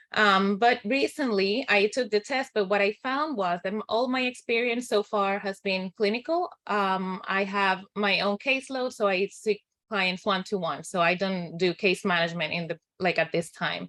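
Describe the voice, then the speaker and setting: A woman with a non-native accent talks at a moderate pace, her bright, sharp tone at a medium pitch, with ordinary pitch variation, hardly any pauses, and a dry, close sound with no echo. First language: not English. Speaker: clinical social worker. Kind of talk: town hall discussion.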